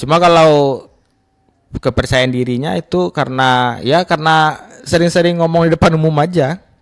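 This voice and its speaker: In a West Sumatran accent, a man with a fairly high voice speaks at a moderate pace with ordinary pitch variation, the sound dry and close with no echo. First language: Minangkabau (speaking Indonesian). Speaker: content creator and videographer. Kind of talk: radio interview. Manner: halting.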